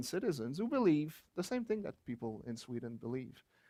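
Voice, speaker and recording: A man talks at a moderate pace with a French Canadian accent. His pitch is fairly high. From rural Quebec, Canada. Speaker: geography professor and author. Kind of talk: book launch talk.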